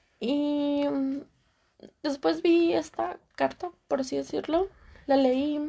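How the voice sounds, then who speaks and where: A dark, mellow tone at a very slow pace, with long, frequent pauses and ordinary pitch variation. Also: woman, high pitch for a woman. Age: 20s. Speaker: podcaster. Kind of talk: personal monologue. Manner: animated.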